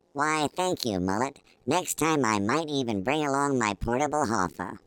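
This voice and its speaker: At a moderate pace, a man uses a put-on character voice at a medium pitch in a very clean recording with a silent background. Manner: very expressive inflection.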